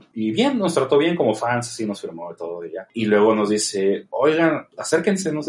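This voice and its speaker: A man at medium pitch speaks at a moderate pace with hardly any pauses and very wide pitch swings. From Mexico, Tijuana. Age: 30s. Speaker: film director. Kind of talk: interview.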